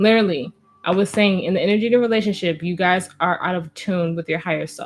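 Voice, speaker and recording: Very fast, fairly even speech with an American accent. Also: woman. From New Jersey, US. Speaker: tarot reader. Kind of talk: tarot reading.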